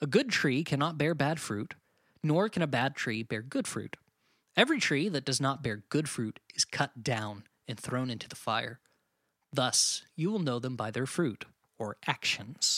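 A man with an unremarkable speaking voice talks fairly slowly in a medium pitch with lively intonation. The recording is very clean with a silent background and dry, close sound with no echo. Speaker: podcast co-host. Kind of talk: casual conversational discussion. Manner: casual, joking.

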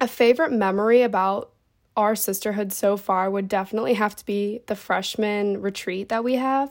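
In a very clean recording with a silent background, a woman with an American accent uses a plain, everyday voice at a medium pitch, speaking at a moderate pace with fairly even intonation and big swings in loudness. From Ohio, Cincinnati. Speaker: sorority recruitment officer, college student. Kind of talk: podcast segment, personal testimony.

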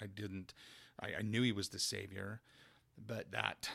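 This man, with a Utah accent, has a fairly low, bright and sharp voice and flat, monotone intonation. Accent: Utah American English. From US West, Carbon County, Utah. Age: 50s. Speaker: church member sharing faith story. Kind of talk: testimony. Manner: halting, with many fillers.

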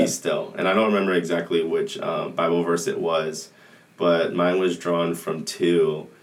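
A man with an American accent speaks at a moderate pace. Noticeable background noise and audible room echo fill the recording. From Southern California, Anaheim. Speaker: college soccer player. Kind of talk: casual interview.

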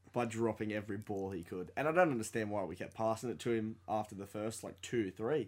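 With an Australian accent, a man speaks at a fairly quick pace with hardly any pauses. His pitch is fairly low and its variation ordinary. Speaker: sports podcast co-host. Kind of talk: casual chat. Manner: animated.

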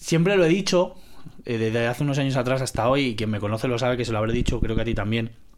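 A man at a medium pitch and a very fast pace, with ordinary pitch variation and noticeable background noise. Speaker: podcast guest. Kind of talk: casual chat.

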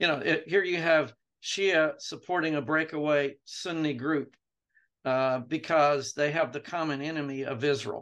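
Over a quiet background, a man with an American accent has an unremarkable speaking voice, a fairly high pitch and fairly even intonation. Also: moderate pace. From Jerusalem, then US. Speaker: retired theology professor. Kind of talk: interview.

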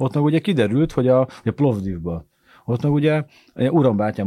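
On a very clean recording with a silent background, a man with a dark, mellow tone talks at a moderate pace with lively intonation. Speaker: comedian and football podcast co-host. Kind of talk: casual chat. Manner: animated.

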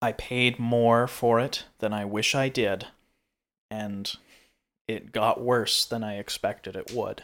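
A man's medium-pitched, monotone, flat delivery at a very slow pace, with long, frequent pauses, on a very clean recording with a silent background. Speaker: podcast co-host. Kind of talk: casual chat.

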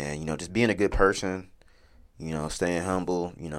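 This man has a very deep, low voice and an American accent. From Wichita, Kansas. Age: 20s. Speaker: podcast host. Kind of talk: casual solo monologue. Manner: halting, many fillers.

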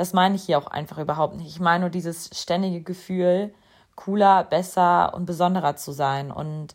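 Here is a woman with an unremarkable speaking voice, fairly low in pitch and fairly even in intonation. She keeps a moderate pace in a very clean recording with a silent background. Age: 20s. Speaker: podcast host. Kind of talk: personal monologue podcast. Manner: casual, filler-heavy.

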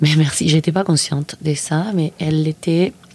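A woman with a Spanish accent at a fairly quick pace. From Argentina, Mendoza. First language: Spanish (speaking French). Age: 50s. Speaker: filmmaker. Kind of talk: interview. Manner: halting, with frequent repetitions.

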